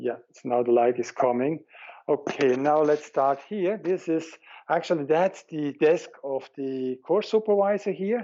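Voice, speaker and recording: With a German accent, a man talks fairly slowly at a fairly high pitch, his loudness swinging widely. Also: lively intonation. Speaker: head of a religious organization. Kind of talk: interview, giving a video tour.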